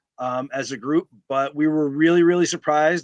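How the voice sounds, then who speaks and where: In a New York accent, a man talks at a fairly quick pace and fairly high pitch with fairly even intonation, the sound dry and close with no echo against a quiet background. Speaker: sports fan leader and t-shirt businessman. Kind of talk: casual interview chat. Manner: loud.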